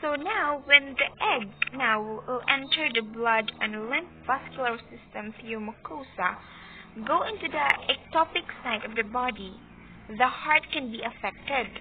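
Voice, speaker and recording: A woman with a Visayan Filipino accent, high-pitched and fairly slow, with lively intonation, big swings in loudness and noticeable background noise. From Philippines. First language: Cebuano. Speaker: student. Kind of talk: class report presentation. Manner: halting.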